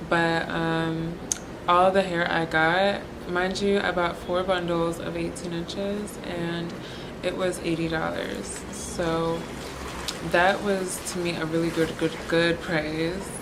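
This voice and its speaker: Very slowly and in a flat monotone, a woman speaks at a fairly low pitch amid noticeable background noise and audible room echo. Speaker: beauty vlogger. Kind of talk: product review. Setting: hostel room. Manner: casual.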